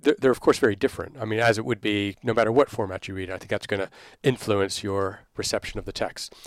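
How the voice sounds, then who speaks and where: A man with an American accent talks in a normal speaking voice at a fairly low pitch, with ordinary pitch variation. The sound is dry and close with no echo, on a very clean recording with a silent background. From Texas, Dallas. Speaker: literature professor. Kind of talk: interview.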